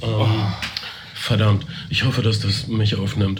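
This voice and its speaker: The voice moves at a fairly slow pace in a monotone, flat intonation. Audible room echo and noticeable background noise are present. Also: man. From East Westphalia, Germany. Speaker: podcast host. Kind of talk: casual chat.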